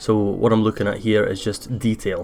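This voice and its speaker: In a Scottish accent, a man speaks with a fairly low pitch. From Scotland. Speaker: gaming youtuber. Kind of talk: gameplay commentary. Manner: hesitant, many fillers.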